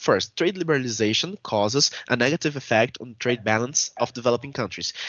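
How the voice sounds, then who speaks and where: A man speaks with a Portuguese accent. His pitch variation is ordinary. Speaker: researcher. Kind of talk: conference presentation. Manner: halting.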